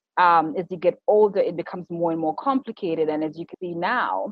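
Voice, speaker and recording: A woman speaks at a very fast pace. Her voice sits at a medium pitch with ordinary pitch variation. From Zimbabwe, Harare. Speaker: PR and destination marketing consultant. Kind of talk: podcast interview.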